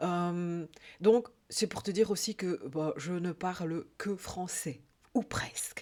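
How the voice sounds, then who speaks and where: A woman speaks at a medium pitch with a Belgian accent. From Belgium. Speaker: life coach. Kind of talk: casual vlog monologue. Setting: YouTube video. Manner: hesitant, many fillers (euh).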